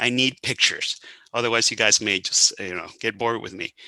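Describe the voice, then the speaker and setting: This man's voice has a bright, sharp tone at a medium pitch, with ordinary pitch variation. The sound is dry and close, with no echo. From Venezuela. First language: Spanish. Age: 60s. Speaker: hormone health expert. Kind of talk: talk to a private group meeting. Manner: talkative.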